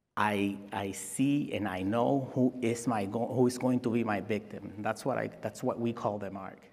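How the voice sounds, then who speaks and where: In a Spanish accent, a man speaks at a medium pitch with fairly even intonation, and the room echo is audible. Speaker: security expert. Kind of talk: conference talk. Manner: halting.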